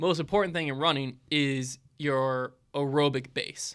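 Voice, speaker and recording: In a very clean recording with a silent background, a man speaks with an American accent, a fairly high pitch, fairly even intonation and a bright, sharp tone. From US South. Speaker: small business owner. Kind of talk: live Q&A stream. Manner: casual, filler-heavy.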